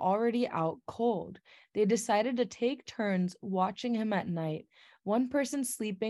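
A natural reading voice with ordinary pitch variation is heard, and the background stays quiet.

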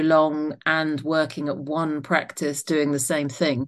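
Someone with a southern English accent speaks at a fairly slow pace against a quiet background. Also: woman. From Isle of Wight, southern England. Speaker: doctor and author. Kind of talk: interview.

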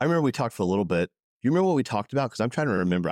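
Pitch swings very widely in this very clean recording, with a silent background and a dry, close sound that has no echo. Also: man. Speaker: podcast host. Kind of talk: casual interview conversation.

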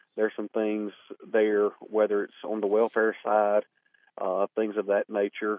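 A man with a Southern US accent, fairly low pitch and moderate pace. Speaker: newly elected state legislator and former county party chair.

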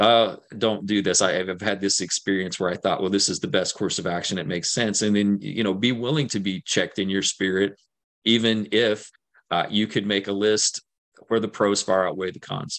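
A man's normal speaking voice with an American accent, fairly low in pitch, fairly even in intonation and fairly quick, over a quiet background. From central Kentucky, US. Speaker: theology professor. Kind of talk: interview on faith.

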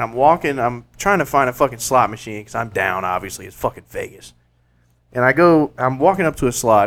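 In a Southern US accent, a man talks at a medium pitch with lively intonation. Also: big swings in loudness, very clean recording, silent background. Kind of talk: casual chat. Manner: animated.

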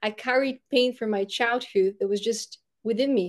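A woman speaks with a Bulgarian accent in a fairly high voice. The background is quiet. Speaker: podcast host and brand strategist. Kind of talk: casual interview.

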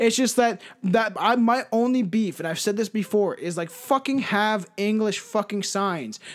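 A man speaks at a moderate pace with hardly any pauses. His voice is high-pitched with ordinary pitch variation. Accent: Canadian. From Canada. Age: 20s. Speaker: podcast host. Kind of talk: casual chat.

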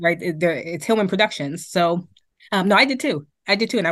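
A woman with an American accent talks at a moderate pace in a plain, everyday voice, her pitch fairly low. Her intonation is lively against a quiet background. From Boston. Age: 40s. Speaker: DJ and university staff. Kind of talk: casual chat.

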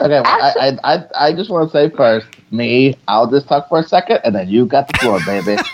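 A man's fairly high voice makes very wide pitch swings amid noticeable background noise. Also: moderate pace. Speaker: comedian and podcaster. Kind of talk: casual comedic chat.

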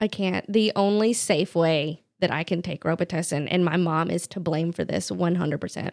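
An ordinary speaking voice with an American accent moves at a moderate pace with fairly even intonation and hardly any pauses, in a dry, close sound with no echo. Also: woman, fairly low pitch for a woman. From North Carolina, Charlotte area. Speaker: dog groomer. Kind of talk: casual chat. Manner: mumbling.

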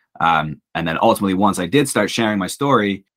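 A man talks. The background is silent and the recording very clean. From England. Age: 30s. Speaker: podcast host. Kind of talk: casual chat.

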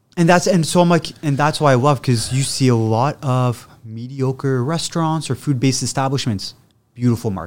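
A man with a Canadian accent uses a normal speaking voice at medium pitch, with ordinary pitch variation and a moderate pace. The recording is very clean, with a silent background. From Ottawa, Canada. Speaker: chef. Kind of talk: casual interview chat.

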